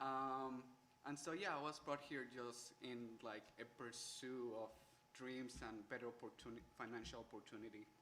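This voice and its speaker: A man with a Spanish accent speaks at medium pitch and a moderate pace. His tone is bright and sharp, with fairly even intonation. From Colombia. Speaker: college student. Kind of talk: panel discussion.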